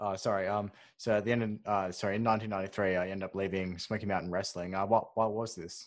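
A man speaks at a fairly quick pace in a fairly low pitch with monotone, flat intonation against a quiet background. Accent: Australian. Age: 20s. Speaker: podcast co-host. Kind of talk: interview. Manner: halting.

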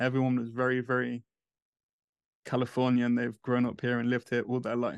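At a fairly quick pace, a man speaks in monotone, flat intonation with an English accent, the sound dry and close with no echo against a quiet background. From England. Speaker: fantasy football podcaster. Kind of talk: casual chat.

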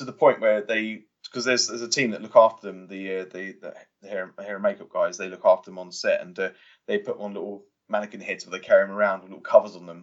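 The speaker talks very fast in a southern English accent. Loudness swings widely from moment to moment. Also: man. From England, Watford (Hertfordshire). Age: 30s. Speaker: stunt performer. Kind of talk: interview. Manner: halting.

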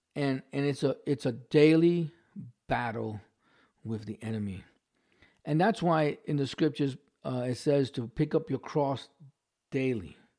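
Someone with a New York accent and a dark, mellow tone speaks at a fairly slow pace with long, frequent pauses and ordinary pitch variation on a very clean recording with a silent background. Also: man, fairly high pitch for a man. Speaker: pastor. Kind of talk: sermon. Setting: livestream from home. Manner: halting.

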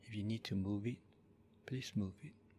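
A man has a somewhat breathy voice at a fairly low pitch. His intonation stays fairly even. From Malaysia, moved to Australia at twelve. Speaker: Buddhist monk. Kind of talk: slow, soothing guided body-scan meditation with repeated gentle 'relax' cues. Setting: live-streamed recording at a monastery. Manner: calm, unhurried, softly repetitive instructions; halting with frequent 'uh' and 'um' fillers when speaking freely.

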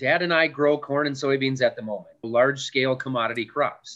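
Here a man speaks with an Upper Midwest accent. His intonation is lively and his pace moderate. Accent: Upper Midwest American. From West Central Minnesota. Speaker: farmer. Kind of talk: casual interview.

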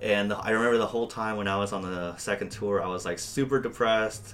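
A man's fairly low voice with fairly even intonation, an ordinary speaking voice. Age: 20s. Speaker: metal guitarist. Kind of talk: casual chat. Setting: office.

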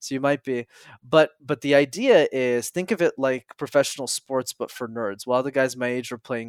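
A man's ordinary speaking voice, medium in pitch, with a Canadian accent, at a moderate pace in a dry, close sound with no echo. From Montreal, Canada. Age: 20s. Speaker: public speaking coach. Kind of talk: interview.

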